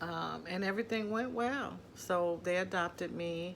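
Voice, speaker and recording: A woman's medium-pitched voice with ordinary pitch variation and audible room echo. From Ohio, US Midwest. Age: 50s. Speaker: adoptee telling her life story. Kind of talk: personal testimony. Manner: hesitant, many fillers.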